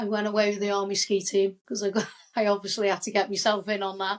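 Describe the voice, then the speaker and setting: At a fairly quick pace, a woman speaks with monotone, flat intonation. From England, Wirral. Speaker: army veteran and motivational speaker. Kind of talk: casual interview chat.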